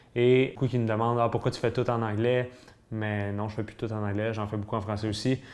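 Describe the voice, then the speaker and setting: A man with a Quebec accent talks at a fairly quick pace and a fairly low pitch. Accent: Québécois French. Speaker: fitness YouTuber. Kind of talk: vlog monologue. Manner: fast; halting.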